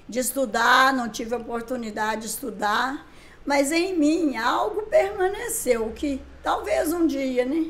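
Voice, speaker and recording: A woman speaks at a fairly slow pace in a high voice, her pitch swinging very widely. Noticeable background noise and audible room echo are present. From Brazil, Minas Gerais (Caratinga area). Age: 70s. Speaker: writer and songwriter. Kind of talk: interview.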